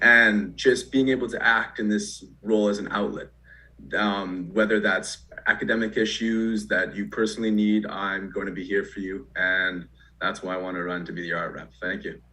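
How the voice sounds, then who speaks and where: With a Canadian accent, a man speaks at a moderate pace and a fairly low pitch, his bright, sharp tone paired with fairly even intonation. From Alberta, Canada (Lethbridge). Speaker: student election candidate. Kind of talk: campaign speech in online debate.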